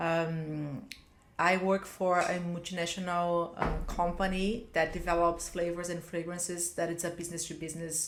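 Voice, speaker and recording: A woman with a fairly low voice talks at a moderate pace in a monotone, flat way. Audible room echo is present. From Brazil. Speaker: business executive. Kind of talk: interview.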